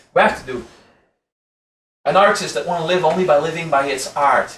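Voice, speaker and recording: A man speaks with a French accent, and the room's echo is audible. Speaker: spiritual teacher. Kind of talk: lecture. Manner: casual, conversational.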